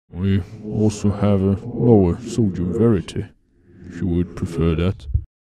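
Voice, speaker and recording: A man puts on a character voice, pitched fairly low. He keeps a moderate pace. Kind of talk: gothic horror narration. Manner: grave, ominous, slow and deliberate, then abruptly mundane.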